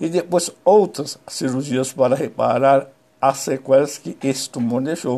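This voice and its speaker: A man's medium-pitched voice, dark and mellow, at a fairly slow pace with ordinary pitch variation. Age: 60s. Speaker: saxophonist. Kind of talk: personal testimony.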